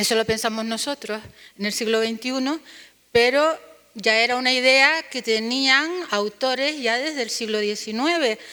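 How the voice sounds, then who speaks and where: The voice carries a Canarian accent and a bright, sharp tone. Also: woman, high pitch for a woman, ordinary pitch variation, fairly slow pace. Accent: Canarian Spanish, noticeable. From Canary Islands, Spain. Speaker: university linguist, conference panelist. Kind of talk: academic conference presentation. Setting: conference panel with audience.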